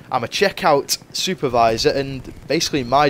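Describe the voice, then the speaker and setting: A man talks with clear noise in the background. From northwest England, Cheshire. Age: 20s. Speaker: gaming youtuber. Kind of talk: gameplay commentary chat. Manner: casual, rambling with fillers.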